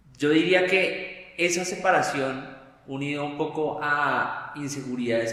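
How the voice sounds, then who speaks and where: The man's voice sits at a fairly high pitch. Audible room echo and noticeable background noise are present. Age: 30s. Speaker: podcast guest. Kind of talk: testimony.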